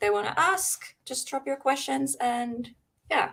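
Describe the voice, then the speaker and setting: A woman speaks with a bright, sharp tone. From Finland. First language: Finnish. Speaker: paranormal live stream host. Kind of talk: casual chat. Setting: live stream. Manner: halting.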